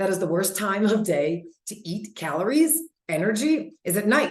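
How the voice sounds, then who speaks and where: Somewhat breathy and animated in tone, a woman speaks at a medium pitch with very wide pitch swings. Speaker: health coach. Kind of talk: webinar presentation. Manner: fast.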